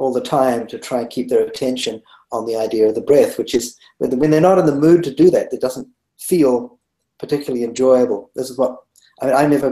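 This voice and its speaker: In a New Zealand accent, a man talks at a fairly quick pace with a medium pitch, ordinary pitch variation, and a dark, mellow tone. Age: 60s. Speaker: meditation teacher. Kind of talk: interview. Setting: webinar.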